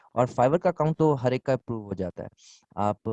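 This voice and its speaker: A man at medium pitch speaks with a dark, mellow tone and ordinary pitch variation in a dry, close sound with no echo. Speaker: online selling instructor. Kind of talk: Q&A in online class.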